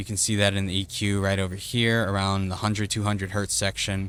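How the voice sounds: A man with a low, booming voice and a fairly bright tone. His pitch barely moves. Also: moderate pace.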